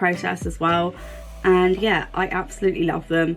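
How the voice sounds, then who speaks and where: Speaking with an English accent at a moderate pace, a woman uses a fairly low voice. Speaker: vlogger reviewing a product. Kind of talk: casual video review.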